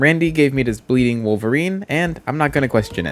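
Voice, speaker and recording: His pitch swings very widely as a man speaks at a fairly quick pace. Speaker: gaming youtuber. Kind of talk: gameplay commentary. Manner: casual.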